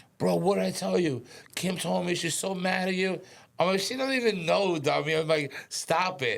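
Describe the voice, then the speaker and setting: Here a man with a New York accent speaks at a high pitch with ordinary pitch variation. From Westchester, New York. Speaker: podcast guest, former stockbroker. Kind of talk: casual chat. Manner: fast; mumbling.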